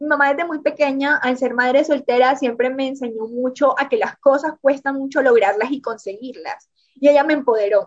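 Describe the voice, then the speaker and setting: Talking at a moderate pace with hardly any pauses, a woman uses a high pitch and ordinary pitch variation. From Colombian Caribbean coast (Córdoba). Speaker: book influencer. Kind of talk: interview.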